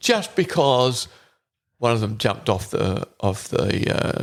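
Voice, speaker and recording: With an Australian accent, a man speaks at a fairly slow pace with lively intonation. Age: 70s. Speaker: hunter, father of the co-host. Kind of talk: casual chat. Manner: halting.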